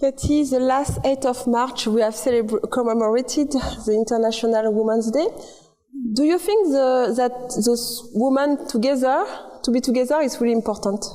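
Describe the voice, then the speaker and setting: Against noticeable background noise, a woman with a French accent speaks at a moderate pace in a high pitch, with ordinary pitch variation and very even loudness. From France. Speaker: community TV host. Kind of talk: interview.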